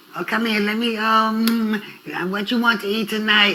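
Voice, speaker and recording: A man's raised, projected voice at a high pitch with monotone, flat intonation, audible room echo and noticeable background noise. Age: 70s. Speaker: youth mentor, interview guest. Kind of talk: interview. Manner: conversational, storytelling.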